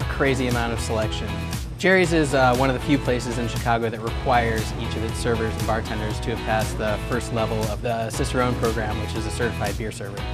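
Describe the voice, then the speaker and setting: Over loud music in the background, a man talks at a very fast pace. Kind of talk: interview answer. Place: bar. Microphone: lapel.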